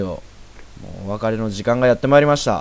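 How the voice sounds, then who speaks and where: There is lively intonation in this man's fairly low voice. Noticeable background noise runs underneath. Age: 20s. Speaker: amateur podcast host. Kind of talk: casual chat.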